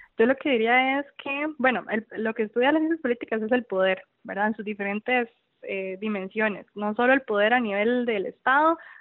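A woman with a normal speaking voice at a fairly quick pace, her pitch varying in an ordinary way. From Costa Rica, Tibás. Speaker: cancer survivor. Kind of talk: interview. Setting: phone call. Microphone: old landline phone.

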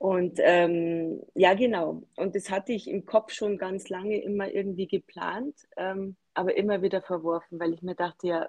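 The sound is dry and close with no echo. A woman talks at a medium pitch and a fairly slow pace. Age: 40s. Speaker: small business founder. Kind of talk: podcast interview.

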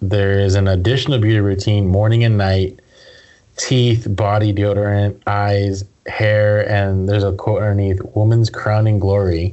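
Fairly low in pitch, a man speaks at a fairly slow pace in a monotone, flat intonation. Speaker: podcast host. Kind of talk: casual movie review chat.

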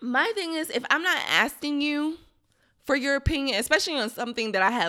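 A woman's raised, projected voice, high-pitched with a bright, sharp tone, comes at a fairly quick pace on a very clean recording with a silent background. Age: 30s. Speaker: podcast co-host. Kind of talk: casual chat.

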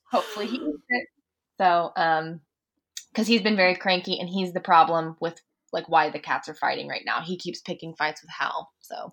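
Delivered at a moderate pace with ordinary pitch variation and big swings in loudness, this is an ordinary speaking voice. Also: woman, medium pitch for a woman. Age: 30s. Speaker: guitarist. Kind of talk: casual chat.

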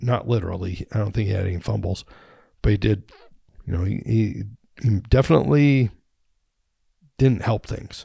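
With long, frequent pauses, a man talks at a moderate pace in a dark, mellow, somewhat breathy tone with ordinary pitch variation. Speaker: sports podcast host. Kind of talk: casual solo commentary.

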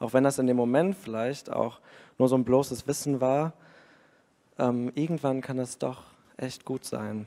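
A man at a fairly slow pace and medium pitch, dark and mellow in tone, with fairly even intonation and long, frequent pauses. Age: 30s. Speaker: schoolteacher and church keyboardist. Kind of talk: personal testimony.

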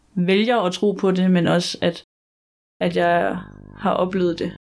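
Against music in the background, a woman talks fairly slowly with monotone, flat intonation. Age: 20s. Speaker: student. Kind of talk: interview testimony. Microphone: poor sound quality.

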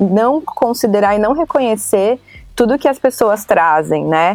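A woman at a medium pitch and fairly slow pace, with music in the background. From São Paulo, Brazil. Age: 30s. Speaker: branding and education program lead. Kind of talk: casual interview.

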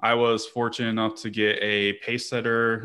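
A man with an American accent speaks in a normal speaking voice at medium pitch and a fairly quick pace. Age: 30s. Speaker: parks professional, podcast co-host. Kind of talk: casual chat.

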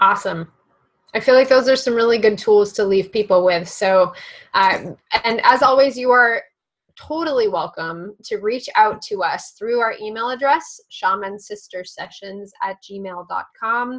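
A woman speaks in an unremarkable speaking voice, fairly high in pitch, with ordinary pitch variation. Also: moderate pace. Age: 20s. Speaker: podcast co-host and spiritual healer. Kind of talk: casual chat.

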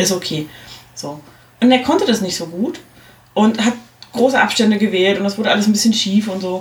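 A fairly high-pitched woman speaks at a fairly quick pace, broken by long, frequent pauses, over noticeable background noise. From East Germany. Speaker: podcast host. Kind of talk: casual chat. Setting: studio.

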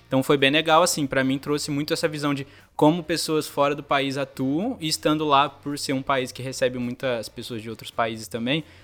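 An unremarkable speaking voice moves at a fairly quick pace with hardly any pauses and fairly even intonation, on a very clean recording with a silent background. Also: man, fairly high pitch for a man. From Brazil, São José dos Campos (São Paulo state). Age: 20s. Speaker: graphic designer, former exchange student. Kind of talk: casual interview.

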